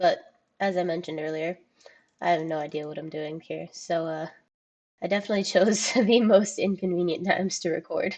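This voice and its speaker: A woman's voice sits fairly low in pitch and is quiet. Her intonation stays fairly even. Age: 20s. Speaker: gaming video creator. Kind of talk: narrated gameplay voiceover. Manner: quiet, keeping voice down.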